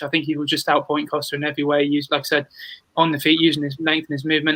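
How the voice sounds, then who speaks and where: A man with a British accent speaks very fast at a fairly high pitch in a monotone, flat intonation, with a dry, close sound and no echo. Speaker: sports podcast host. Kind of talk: casual panel discussion.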